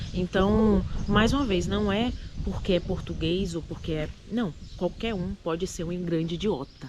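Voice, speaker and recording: Over noticeable background noise, a woman with a Recife accent speaks fairly slowly at medium pitch with ordinary pitch variation. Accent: Recife accent, mocked in other states. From Brazil, Recife (Pernambuco). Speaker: immigrant vlogger. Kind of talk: casual chat.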